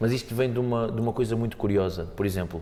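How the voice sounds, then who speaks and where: The man talks at a fairly quick pace. His tone is dark and mellow. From Portugal, Montijo area. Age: 20s. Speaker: fado singer. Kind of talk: podcast interview. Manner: hesitant, repeats words.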